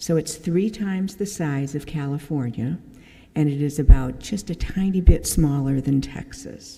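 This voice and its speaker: A woman's very deep, low, somewhat breathy voice with a dark, mellow tone and big swings in loudness. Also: ordinary pitch variation, moderate pace. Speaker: church member giving mission talk. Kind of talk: church mission presentation. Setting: church service. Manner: casual, with many fillers.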